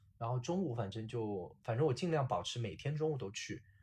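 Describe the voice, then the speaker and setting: The speaker is a man with a medium pitch. His somewhat breathy voice moves at a fairly quick pace. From southwest China. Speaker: product operations worker and short-video creator. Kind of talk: interview.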